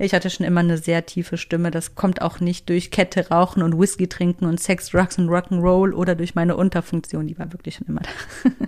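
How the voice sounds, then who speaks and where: A woman with a fairly low pitch talks at a fairly quick pace in a monotone, flat way, with hardly any pauses. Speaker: podcast host. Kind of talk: motivational monologue. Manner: casual.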